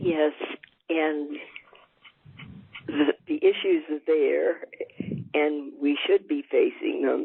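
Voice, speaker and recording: A woman speaks at a very slow pace. Her delivery has long, frequent pauses. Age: 80s+. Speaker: retired pediatrician and author. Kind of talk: interview answer.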